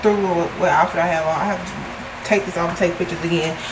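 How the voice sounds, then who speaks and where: Flat, monotone speech from a woman, with noticeable noise behind it. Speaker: vlogger. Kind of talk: casual vlog chat. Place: home room. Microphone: phone near.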